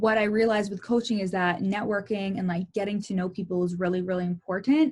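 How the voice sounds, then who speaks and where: Speaking at a very fast pace, a woman keeps to a medium pitch. Noticeable background noise runs under her voice. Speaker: life and success coach. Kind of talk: casual talk to camera, personal vlog. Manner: candid, personal, enthusiastic.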